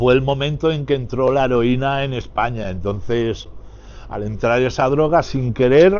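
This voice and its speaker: With noticeable background noise, the speech moves at a fairly slow pace with ordinary pitch variation. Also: man, medium pitch for a man. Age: 60s. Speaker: former bank robber. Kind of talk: interview.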